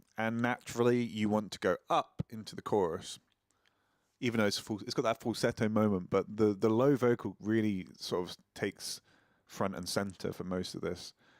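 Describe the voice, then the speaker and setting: A plain, everyday voice from a man at medium pitch and moderate pace, on a very clean recording with a silent background and a dry, close sound with no echo. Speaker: singer-songwriter. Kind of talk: casual chat. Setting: live stream.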